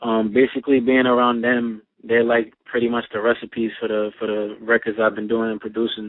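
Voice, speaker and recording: A man speaks with a New York accent. His voice sits at a medium pitch. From Brooklyn, New York. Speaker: rapper and producer. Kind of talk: interview.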